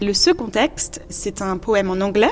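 A woman's fairly high voice with lively intonation at a fairly slow pace, over noticeable background noise. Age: young. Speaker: composer and singer. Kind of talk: interview.

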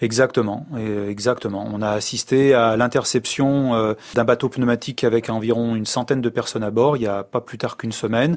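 A man speaks at a fairly quick pace in a medium pitch, with fairly even intonation over a quiet background. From France, of Spanish descent. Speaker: humanitarian worker and volunteer pilot. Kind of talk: interview. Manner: hesitant, many fillers.

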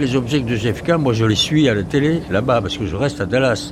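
Audible room echo and noticeable background noise surround this recording. A man speaks at a moderate pace. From France. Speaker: journalist. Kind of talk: testimony.

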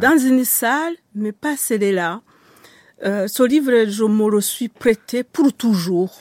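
With a Rwandan accent, a woman talks at a very slow pace in a fairly high pitch with lively intonation, in a dry, close sound with no echo and a very clean recording with a silent background. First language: Kinyarwanda (speaking French). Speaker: writer. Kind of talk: interview. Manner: halting.

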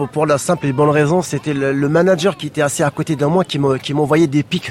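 A man with an unremarkable speaking voice talks with fairly even intonation. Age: 40s. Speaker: former telecom employee. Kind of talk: testimony.

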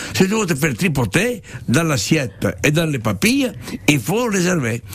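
A man's fairly high voice makes very wide pitch swings at a moderate pace, with noticeable background noise behind him. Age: 70s. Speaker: restaurant owner and chef. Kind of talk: radio interview. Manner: animated.

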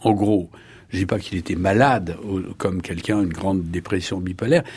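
A man's somewhat breathy voice with a dark, mellow tone, on a very clean recording with a silent background. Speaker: neurologist. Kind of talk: interview.

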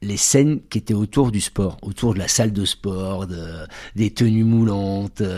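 A man with a fairly low pitch and a dark, mellow tone, at a very slow pace. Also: very clean recording, silent background. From France, Bordeaux. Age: 40s. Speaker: adult trainer, former firefighter. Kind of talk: testimony.

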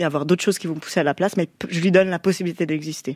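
A woman with a fairly low pitch speaks at a very fast pace with fairly even intonation. The sound is dry and close with no echo, on a very clean recording with a silent background. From French-speaking Switzerland. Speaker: musician. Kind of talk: radio interview. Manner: casual.

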